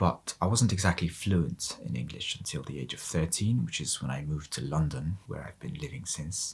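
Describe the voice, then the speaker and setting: The voice has lively intonation. There is vocal fry in it. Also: man. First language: Mongolian. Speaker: polyglot youtuber. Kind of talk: multilingual vlog monologue.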